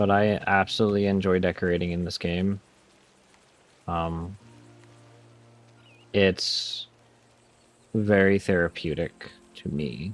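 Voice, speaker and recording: Quiet and very deep, a man's voice moves at a fairly slow pace with long, frequent pauses and fairly even intonation. Music plays in the background. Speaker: game streamer. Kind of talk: live game stream chat. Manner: quiet while focused.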